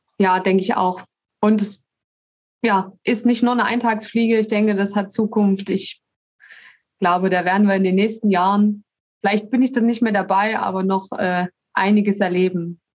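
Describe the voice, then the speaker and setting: A woman speaks at a moderate pace with a medium pitch, monotone, flat intonation, very even loudness and long, frequent pauses. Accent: slight Saxon. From Saxony, Dresden. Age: 30s. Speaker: sports association inclusion manager. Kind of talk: casual interview. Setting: video call.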